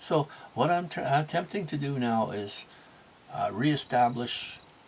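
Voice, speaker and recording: A man speaks with lively intonation in a fairly high voice. There is noticeable background noise. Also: fairly slow pace. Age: 60s. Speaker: motivational vlogger and small business owner. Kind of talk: casual monologue. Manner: halting, with many fillers and restarts.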